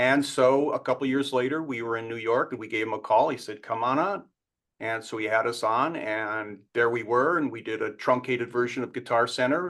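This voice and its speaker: A man at a fairly quick pace, medium pitch and ordinary pitch variation, against a quiet background. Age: 60s. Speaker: musician and musical creator. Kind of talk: interview.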